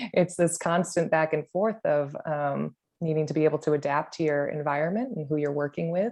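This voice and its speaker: A woman with an American accent and a normal speaking voice, fairly low in pitch, with ordinary pitch variation, a fairly quick pace and a quiet background. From Chicago, US Midwest. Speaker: former physical therapist. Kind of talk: panel discussion. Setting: video call.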